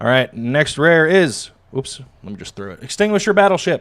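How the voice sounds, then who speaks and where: Speaking at a moderate pace, a man sounds enthusiastic with lively intonation in a very clean recording with a silent background. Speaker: card-opening streamer. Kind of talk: live-streamed pack opening. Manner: stumbling over words; casual, enthusiastic.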